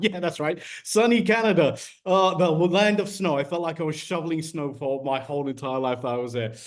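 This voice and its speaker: With an English accent, a man speaks at a fairly quick pace in a fairly high pitch with lively intonation, over noticeable background noise. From London, England. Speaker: business distributor. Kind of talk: testimony.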